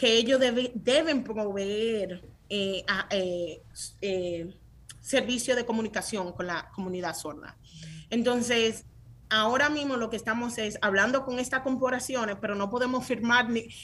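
A woman speaks at a fairly slow pace with a fairly high pitch. Her pitch varies in an ordinary way, while her loudness swings widely. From Dominican Republic (San Francisco de Macorís), then New York. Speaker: tech startup founder. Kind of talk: interview. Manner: animated.

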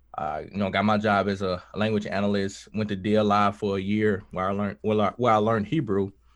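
A man talks in a Southern US accent at a fairly low pitch. His pace is fairly quick. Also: quiet background. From US South, Mississippi. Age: 20s. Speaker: musician and Air Force veteran. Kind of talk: casual chat.

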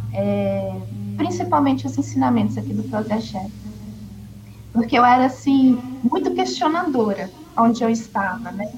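With music in the background and audible room echo, a woman speaks at a very deep, low pitch and a moderate pace, taking long, frequent pauses amid very wide pitch swings. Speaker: former nun, umbanda follower. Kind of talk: testimony.

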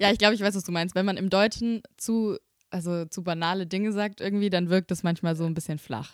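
This is a plain, everyday voice moving at a fairly quick pace with fairly even intonation, heard in a dry, close sound with no echo. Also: woman, medium pitch for a woman. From Swabia, Germany (Böblingen near Stuttgart). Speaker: singer-songwriter and student teacher. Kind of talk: casual chat. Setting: rehearsal room.

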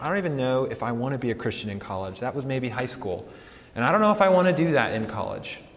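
Someone speaks at a fairly quick pace in an American accent. Noticeable background noise and audible room echo fill the recording. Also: man. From Colorado. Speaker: campus pastor. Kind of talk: sermon; welcome talk to students. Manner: casual, hesitant with fillers.

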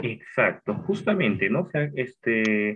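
With a normal speaking voice at medium pitch, a man talks at a fairly slow pace using lively intonation. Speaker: podcast host. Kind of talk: interview.

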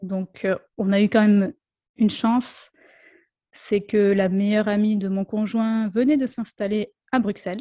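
Somewhat breathy female voice with a dark, mellow tone and fairly even intonation, at a fairly slow pace with long, frequent pauses, in a dry, close sound with no echo and a quiet background. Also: medium pitch for a woman. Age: 30s. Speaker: speech therapist. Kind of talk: interview.

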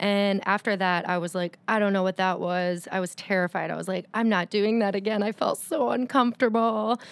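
A normal speaking voice moves at a fairly quick pace with hardly any pauses and ordinary pitch variation, in a very clean recording with a silent background and a dry, close sound with no echo. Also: woman, medium pitch for a woman. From Windsor, Ontario, Canada. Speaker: yoga teacher. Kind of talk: casual interview chat.

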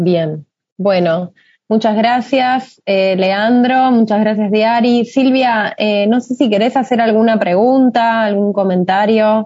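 Woman's fairly high voice, very slow pace, ordinary pitch variation, very even loudness. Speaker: moderator. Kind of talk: interview.

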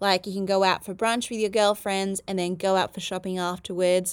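A woman speaks with a medium pitch in an Australian accent. The recording is very clean, with a silent background. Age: 30s. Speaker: podcast host. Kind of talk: solo podcast monologue. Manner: casual, chatty.

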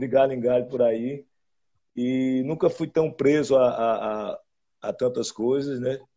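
A man speaks in a dark, mellow tone at a fairly slow pace. His intonation is a flat monotone. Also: medium pitch for a man. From Caruaru, Pernambuco, Brazil. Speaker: forró musician. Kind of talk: casual interview chat.

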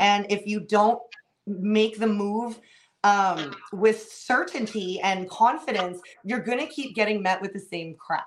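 A woman talks with an ordinary speaking voice. Her pitch sits in the medium range and varies in an ordinary way. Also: fairly slow pace. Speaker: tarot reader. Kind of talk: casual interview chat and tarot reading.

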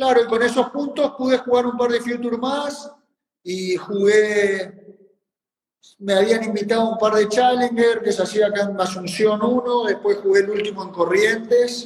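This man has a high pitch and fairly even intonation. He speaks at a fairly slow pace. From Argentina, Formosa province. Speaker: tennis coach and senior tennis player. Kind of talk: casual interview.

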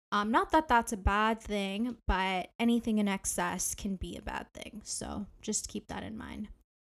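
In a Canadian accent, a woman with an ordinary speaking voice talks at a fairly slow pace and a fairly high pitch, on a very clean recording with a silent background. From Canada, Ontario. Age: 20s. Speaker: podcast host and graduate student. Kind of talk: solo podcast monologue.

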